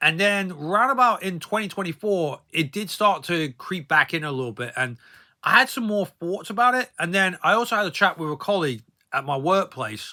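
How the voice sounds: The man's voice sits at a high pitch with a bright, sharp tone. His intonation is lively. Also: moderate pace.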